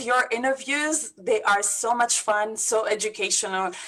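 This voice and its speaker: A woman with a Lebanese accent, at a fairly slow pace, over noticeable background noise. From Lebanon. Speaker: business coach. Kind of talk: interview.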